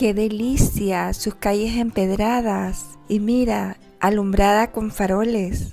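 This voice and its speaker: At a very slow pace, a woman speaks with fairly even intonation while music plays in the background. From El Salvador. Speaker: travel vlogger. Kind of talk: travel vlog narration.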